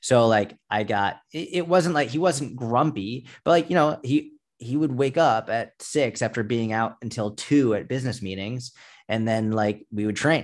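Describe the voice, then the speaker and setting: In a quiet background, a man with an American accent speaks in an ordinary speaking voice at a moderate pace, with medium pitch and ordinary pitch variation. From Massachusetts, near Boston. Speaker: fitness coach. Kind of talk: interview.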